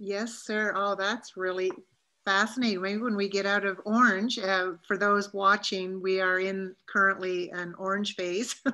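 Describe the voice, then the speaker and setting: Over a quiet background, a woman talks fairly slowly at medium pitch with monotone, flat intonation. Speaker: interviewer. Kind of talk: interview questions. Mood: warm, interested. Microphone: video call.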